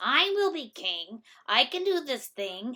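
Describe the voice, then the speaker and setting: Speaking at a fairly slow pace, a woman puts on a high-pitched character voice with very wide pitch swings. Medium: read story. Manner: boastful.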